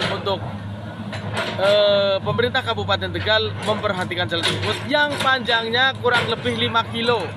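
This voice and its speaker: A man's dry sound with no echo competes with loud background noise. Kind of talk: interview answer. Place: open country. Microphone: phone near.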